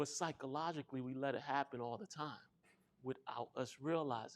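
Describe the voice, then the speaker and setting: A soft-spoken man talks with an American accent. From New York City, South Bronx. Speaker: financial literacy educator. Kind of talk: workshop presentation.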